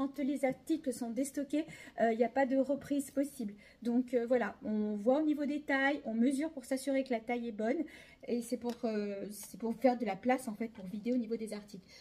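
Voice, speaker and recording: This woman has a high-pitched voice with a dark, mellow tone. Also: ordinary pitch variation. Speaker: clothing shop owner doing a sales video. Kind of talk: sales pitch.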